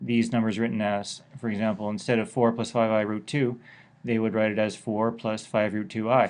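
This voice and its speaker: Medium in pitch and moderate in pace, a man's voice carries fairly even intonation. He has an unremarkable speaking voice. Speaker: math teacher. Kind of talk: lecture.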